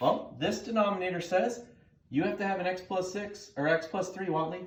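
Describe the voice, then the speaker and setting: Here a man speaks with a high pitch. Audible room echo surrounds his voice. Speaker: math teacher. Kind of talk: tutorial. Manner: fast; casual, conversational.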